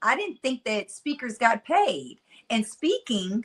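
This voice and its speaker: A woman with a Mississippi accent talks at a very slow pace in a high voice with lively intonation. The sound is dry and close, with no echo. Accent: Southern country twang, Mississippi. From US South, Mississippi-style speech, raised near Nashville. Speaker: motivational speaker. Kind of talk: casual interview chat.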